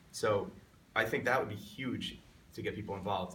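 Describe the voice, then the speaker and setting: Amid noticeable background noise and audible room echo, a man with an American accent speaks at a medium pitch. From Long Island, New York. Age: 30s. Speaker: congressional candidate. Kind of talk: interview.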